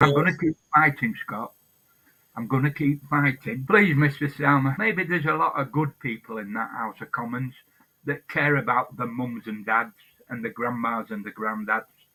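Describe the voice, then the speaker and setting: A Lancashire accent comes through with a bright, sharp tone. The pace is moderate and the intonation lively. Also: man, medium pitch for a man. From northern England, Blackpool, Lancashire. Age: 70s. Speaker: hunger striker and protester. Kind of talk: interview. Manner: halting.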